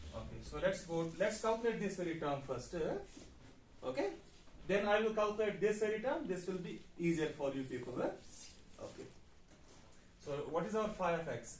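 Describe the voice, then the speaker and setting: A high-pitched man talks at a moderate pace with lively intonation and long, frequent pauses. Audible room echo fills the recording. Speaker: university physics lecturer. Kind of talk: lecture.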